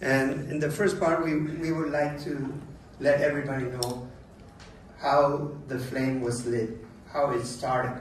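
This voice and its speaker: Amid noticeable background noise and audible room echo, a man speaks slowly-ish at a fairly slow pace, with fairly high pitch and fairly even intonation. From Paraguay. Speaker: event organiser. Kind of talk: conference speech. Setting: conference side event.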